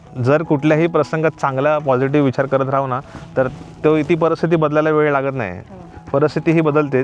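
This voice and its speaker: Over music in the background, a man with a fairly high pitch speaks with fairly even intonation. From Konkan, Maharashtra. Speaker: YouTuber. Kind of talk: casual chat. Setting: outdoors.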